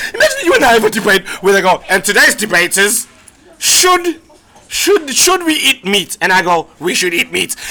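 A man's raised, projected voice, high-pitched with very wide pitch swings and very even loudness, over noticeable background noise. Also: moderate pace. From South Africa. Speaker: comedian and podcast co-host. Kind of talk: casual chat. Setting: live in a pub. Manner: animated.

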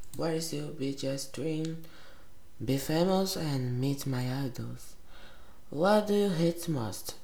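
The speech is very slow, with long, frequent pauses and ordinary pitch variation. Audible room echo and noticeable background noise fill the recording. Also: woman, very deep, low pitch for a woman. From Brazil. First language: Portuguese. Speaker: vlogger. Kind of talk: casual self-interview. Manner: giggly.

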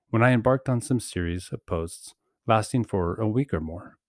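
On a very clean, dry and close recording with no echo and a silent background, a man speaks in an unremarkable speaking voice at fairly low pitch, with lively intonation and a moderate pace. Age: 40s. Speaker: author and former teacher in recovery. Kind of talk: reading aloud. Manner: formal.

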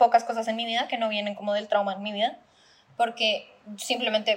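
The woman's voice sits fairly high in pitch. It is also somewhat breathy. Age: 20s. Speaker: podcast co-host. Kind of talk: casual chat.

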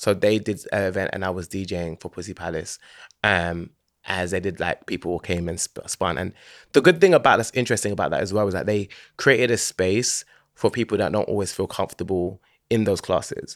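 A man with a London accent talks at a fairly quick pace in a fairly low pitch. The recording is very clean with a silent background and a dry, close sound with no echo. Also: ordinary pitch variation. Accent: London Multicultural English. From London, Hackney. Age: 30s. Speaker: DJ and videographer. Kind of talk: casual chat.

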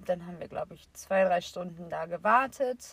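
A woman's somewhat breathy voice at a moderate pace, with fairly even intonation. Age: 20s. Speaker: podcast co-host. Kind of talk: casual chat.

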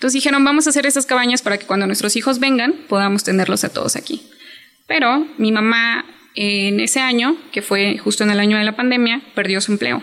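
In a normal speaking voice, a woman talks at a fairly quick pace and a fairly high pitch, with ordinary pitch variation and very even loudness. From Chiapas, Mexico. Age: 20s. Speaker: hotel worker and small business owner. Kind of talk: interview.

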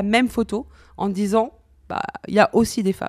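Over a very clean recording with a silent background, a woman has an unremarkable speaking voice at medium pitch with fairly even intonation. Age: 40s. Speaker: insurance consultant and association founder. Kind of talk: radio interview.

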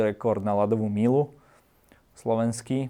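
This man has a dark, mellow tone and a medium pitch. He speaks at a fairly slow pace with fairly even intonation. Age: 20s. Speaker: winter swimmer. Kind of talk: casual chat.

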